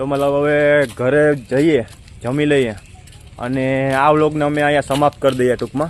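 This man's intonation is monotone and flat, and noticeable background noise sits behind his voice. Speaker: vlogger. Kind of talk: vlog narration.

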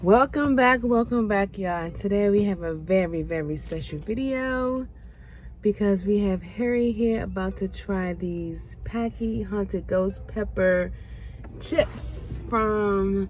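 Over light background noise, a woman speaks at a very slow pace in a dry sound with no echo. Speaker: vlogger filming a snack challenge. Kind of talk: casual vlog chat. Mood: playful, laughing. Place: car. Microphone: phone near.

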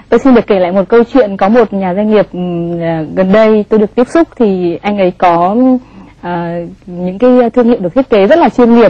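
In a plain, everyday voice, a woman speaks at a moderate pace with a medium pitch and ordinary pitch variation. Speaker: TV talk show host. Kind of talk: TV interview. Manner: formal.

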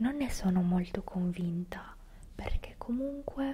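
Whispering and soft-spoken, a woman sounds somewhat breathy at a very slow pace, with light background noise. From Italy. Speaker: ASMR creator. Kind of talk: ASMR whispered talk to camera. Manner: whispered, soft-spoken. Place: home room. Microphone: studio mic.

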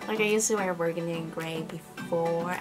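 Clear music plays behind a woman talking at a moderate pace. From Peru. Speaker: lifestyle YouTuber. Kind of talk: casual talk to camera. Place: home room. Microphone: camera far.

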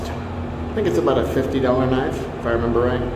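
Over noticeable background noise and audible room echo, a man speaks. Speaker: knife reviewer. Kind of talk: casual product review. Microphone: phone near.

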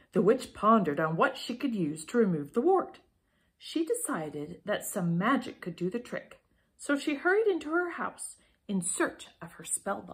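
Using vocal fry, a woman speaks at a moderate pace, with very wide pitch swings and big swings in loudness. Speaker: storybook reader. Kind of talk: children's story reading. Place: home room. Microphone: phone near.

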